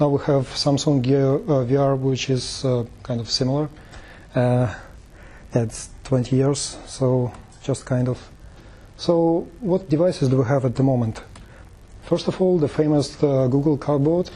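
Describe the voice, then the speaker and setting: A man with a non-native accent, fairly high in pitch, with ordinary pitch variation, a fairly slow pace, and long, frequent pauses. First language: not English. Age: 30s. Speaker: tech meetup presenter. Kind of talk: presentation. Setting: meetup talk with audience. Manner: halting, many fillers.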